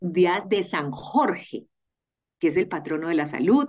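A woman's lively intonation stands out as she talks at a fairly slow speed. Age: 40s. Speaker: health journalist. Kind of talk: casual interview chat. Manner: animated.

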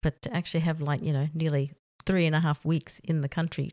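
In an Australian accent, a woman with a very deep, low pitch talks at a fairly quick pace in a monotone, flat intonation, the sound dry and close with no echo on a very clean recording with a silent background. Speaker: expat office worker. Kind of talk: casual interview.

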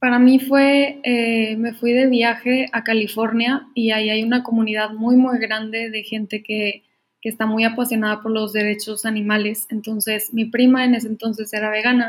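A woman speaks in a fairly high, somewhat breathy voice at a moderate pace. Her intonation is monotone and flat. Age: 20s. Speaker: engineering student and vegan activist. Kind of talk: casual chat.

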